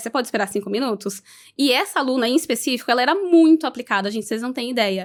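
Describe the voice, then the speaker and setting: Speaking at a very fast pace, a woman has a high pitch. Her intonation is lively. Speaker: tech education project lead. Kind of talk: podcast interview. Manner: didactic, teacher-like.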